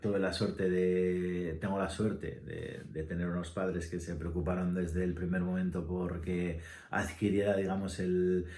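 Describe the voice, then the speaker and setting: With audible room echo, a man with a very deep, low pitch and a dark, mellow tone speaks at a fairly slow pace. His intonation is monotone and flat, with hardly any pauses. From Spain, Asturias. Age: 40s. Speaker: musician and ensemble director. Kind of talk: casual interview answers, self-read questions. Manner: halting, many fillers.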